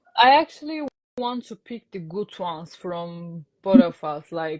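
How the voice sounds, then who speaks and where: A woman speaks quietly at a fairly slow pace, her pitch fairly low. Her intonation is lively, with big swings in loudness. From Turkey. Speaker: guest sharing marriage experience. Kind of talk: casual interview. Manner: quiet, never raises voice.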